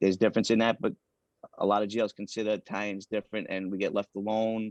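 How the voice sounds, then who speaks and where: In a New York accent, a man rattles along at a very fast pace with a fairly low pitch and monotone, flat intonation. The sound is dry and close, with no echo. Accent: New York (Queens). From New York City (Queens). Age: 40s. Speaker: former prisoner. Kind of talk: interview.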